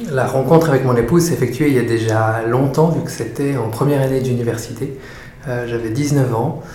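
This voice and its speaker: A man talks at a fairly quick pace. The room echo is audible and background noise is noticeable. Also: medium pitch for a man, fairly even intonation. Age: 30s. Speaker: doula for fathers, former lawyer. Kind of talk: interview. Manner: halting, many fillers and repetitions.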